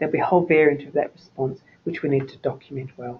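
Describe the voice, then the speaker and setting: With an Australian accent, a man rattles along at a very fast pace, his fairly high voice held to fairly even intonation. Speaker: nurse consultant presenting a webinar. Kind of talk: lecture. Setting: webinar.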